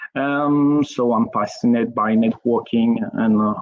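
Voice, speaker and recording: At a very slow pace, a man speaks with a French accent. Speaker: network engineer. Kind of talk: technical presentation. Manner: halting, many fillers.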